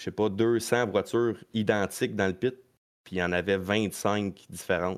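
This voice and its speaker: A plain, everyday voice from a man, fairly low in pitch, with fairly even intonation against a quiet background. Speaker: stock car racing driver. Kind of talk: casual chat.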